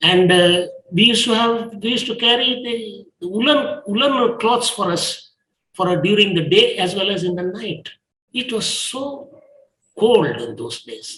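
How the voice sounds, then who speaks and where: A man with a high pitch uses a raised, projected voice at a fairly slow pace, his pitch varying in an ordinary way amid audible room echo. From India, coastal Karnataka. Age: 80s+. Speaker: professor and educator. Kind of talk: interview monologue. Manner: halting, with hesitations.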